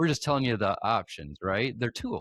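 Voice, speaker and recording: A man with an ordinary speaking voice talks at a fairly high pitch with lively intonation, in a dry, close sound with no echo on a very clean recording with a silent background. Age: 50s. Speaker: podcast host and cancer survivor. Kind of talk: interview conversation.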